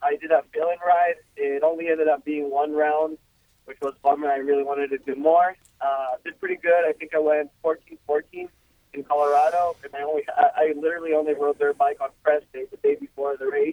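Talking at a fairly quick pace, a man with a Spanish accent keeps a monotone, flat intonation while his loudness swings widely. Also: fairly high pitch for a man. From Ecuador. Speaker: professional motocross racer. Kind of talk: casual interview.

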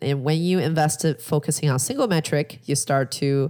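A woman with a Chinese accent speaks at a very deep, low pitch, captured in a very clean recording with a silent background. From China, Shanghai. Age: 30s. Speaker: real estate investor. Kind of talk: interview.

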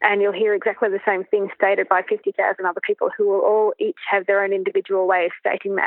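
A woman has an Australian accent and monotone, flat intonation. She talks at a very fast pace. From Australia, Canberra. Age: 40s. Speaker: riding coach. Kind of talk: interview.

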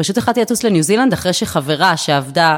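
With lively intonation, a woman rattles off her words at a very fast pace. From Israel, Herzliya. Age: 30s. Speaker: real estate investor. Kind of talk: interview.

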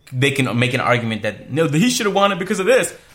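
A man talks with ordinary pitch variation. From Canada. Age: 20s. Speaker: basketball podcast co-host. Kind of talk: casual chat. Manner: animated.

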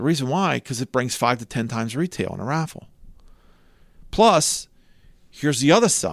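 An animated voice swings very widely in pitch and breaks off often into long pauses. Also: man, fairly high pitch for a man. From Cecil County, Maryland. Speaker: charity fundraising company owner and auctioneer. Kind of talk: casual interview chat. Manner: fast talker, animated.

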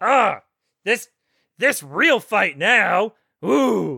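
Using a put-on character voice at a middle pitch, the speaker makes very wide pitch swings. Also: very clean recording, silent background. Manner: childish, whiny, simple-minded.

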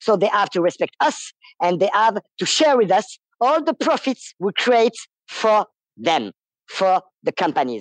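The voice carries a French accent at a fairly slow pace. Long, frequent pauses break it up. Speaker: striking worker. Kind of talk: interview. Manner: halting.

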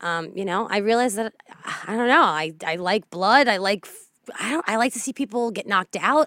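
With an American accent and lively intonation, a woman uses a normal speaking voice at a fairly high pitch and a moderate pace. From northern New Jersey, Bergen County. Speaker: radio producer. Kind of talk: casual chat.

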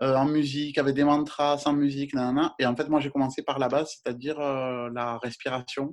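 Speaking at a fairly quick pace with hardly any pauses, a man uses a fairly high pitch and a monotone, flat intonation. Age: 40s. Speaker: yoga and astrology page creator. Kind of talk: interview. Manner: halting.

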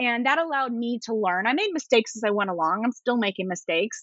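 The speaker is a woman. She talks with an East Coast US accent. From US East Coast. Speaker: attorney and entrepreneur. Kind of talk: casual interview chat. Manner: fast talker.

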